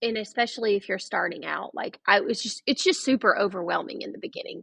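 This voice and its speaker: A woman at a very fast pace in a strong Georgia accent, with big swings in loudness. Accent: thick Southern US (Georgia). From US South (Blue Ridge, Georgia). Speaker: cabin owner and vacation rental host. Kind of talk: podcast interview.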